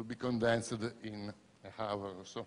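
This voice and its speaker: A man with a non-native accent. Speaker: professor and UFO researcher. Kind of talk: conference lecture. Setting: conference stage with audience.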